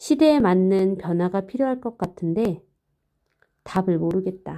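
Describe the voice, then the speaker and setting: On a very clean recording with a silent background, a woman with a dark, mellow tone speaks fairly slowly and with lively intonation. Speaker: amateur audiobook reader. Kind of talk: nonfiction audiobook reading. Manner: somewhat halting, hesitant.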